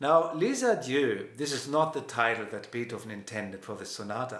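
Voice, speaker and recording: Man with a German accent, medium pitch and relaxed tone at a fairly quick pace, with noticeable background noise and audible room echo. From Germany, Hanover. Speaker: pianist and music professor. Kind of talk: lecture. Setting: live stream. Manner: relaxed conversational with hesitations.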